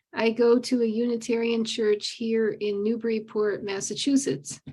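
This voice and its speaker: The delivery is at a fairly slow pace in an unremarkable speaking voice. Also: woman. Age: 60s. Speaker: online meditation group participant. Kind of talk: casual sharing in a group call.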